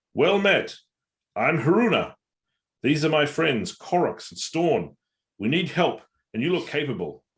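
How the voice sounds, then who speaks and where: In a raspy, put-on character voice with a fairly high pitch, a man uses lively intonation at a moderate pace, broken by long, frequent pauses. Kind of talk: friendly, greeting.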